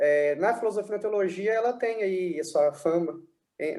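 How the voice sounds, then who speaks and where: Lively intonation from a man at a moderate pace. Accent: Minas Gerais. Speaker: philosophy scholar. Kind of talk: interview, explaining philosophy.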